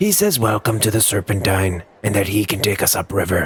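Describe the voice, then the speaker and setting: A man's put-on character voice at a fairly quick pace. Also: fairly low pitch for a man. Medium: read story. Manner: relaxed, sardonic.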